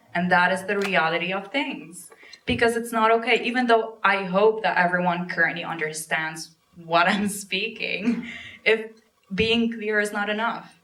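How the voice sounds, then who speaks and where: With audible room echo, a woman at a medium pitch talks at a moderate pace, using ordinary pitch variation and long, frequent pauses. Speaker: actor. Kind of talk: panel discussion.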